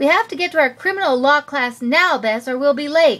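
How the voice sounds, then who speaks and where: A woman's put-on character voice, high-pitched, raised and projected, at a fairly quick pace. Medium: read story.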